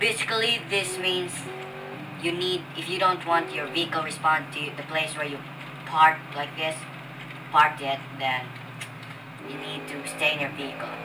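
Long, frequent pauses in a Filipino accent, with noticeable background noise. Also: moderate pace. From Philippines. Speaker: gaming YouTuber. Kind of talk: gameplay commentary. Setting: poor-quality microphone. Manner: casual, profane.

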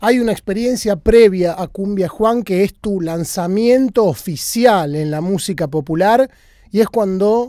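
A man speaks with a Rioplatense accent at a fairly slow pace, his high-pitched voice dark and mellow in tone, with ordinary pitch variation and a dry sound with no echo over a quiet background. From Argentina. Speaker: music channel host, interviewer. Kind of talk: interview. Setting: guest's studio. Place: studio. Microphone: handheld.

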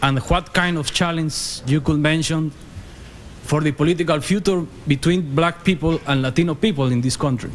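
A man with a Spanish accent, a fairly high pitch and fairly even intonation at a moderate pace, over light background noise. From Guatemala. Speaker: audience member. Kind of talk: audience question. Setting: stage with audience. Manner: halting. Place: hall. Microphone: podium.

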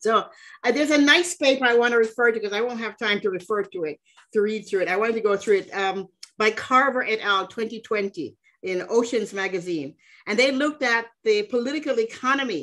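Against a quiet background, a woman talks at a fairly quick pace with lively intonation. Her voice sits at a fairly high pitch with a bright, sharp tone. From Jamaica. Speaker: feminist economist; webinar panelist. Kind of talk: panel presentation. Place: home room. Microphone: video call.

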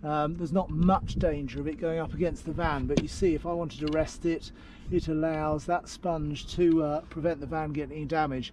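A man's monotone, flat delivery at a moderate pace, dry with no echo, over light background noise. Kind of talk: tutorial. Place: open country. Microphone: phone near.

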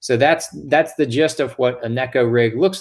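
A man with ordinary pitch variation against a quiet background. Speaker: guest. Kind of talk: tutorial. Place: home room.

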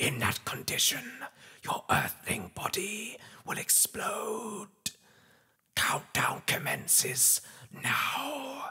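A man's put-on character voice, raspy and high-pitched, at a very slow pace with long, frequent pauses. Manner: menacing.

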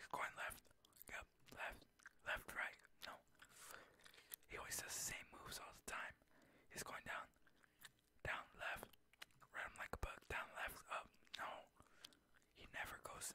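The speech is whispered and fairly slow. Pauses are long and frequent. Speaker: gaming ASMR creator. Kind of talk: ASMR gaming commentary. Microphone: studio mic.

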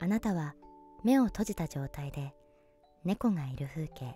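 Music plays in the background as a woman whispers in a soothing tone. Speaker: voice actor. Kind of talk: sleep induction narration. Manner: whispered, soothing.

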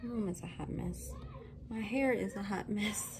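A woman speaks with vocal fry.

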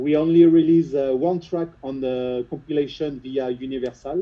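A man in a French accent at a moderate pace, with fairly even intonation. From France, Lyon suburbs. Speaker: house music producer and DJ. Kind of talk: interview. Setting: video call. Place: studio.

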